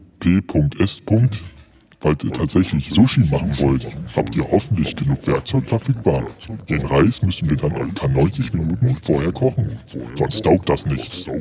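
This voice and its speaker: A put-on character voice at a moderate pace, with long, frequent pauses. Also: man, very deep, low pitch for a man. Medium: audio drama. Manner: matter-of-fact, instructive.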